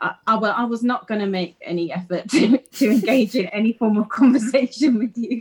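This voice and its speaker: A somewhat breathy woman talks at a fairly quick pace with hardly any pauses, using a fairly high pitch and ordinary pitch variation. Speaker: podcast guest, friend of the host. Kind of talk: casual chat.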